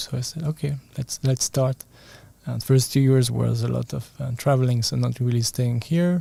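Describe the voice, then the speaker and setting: A man speaks at a moderate pace with a medium pitch and a dark, mellow, somewhat breathy tone. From France. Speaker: energy healer and bodywork practitioner. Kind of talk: interview.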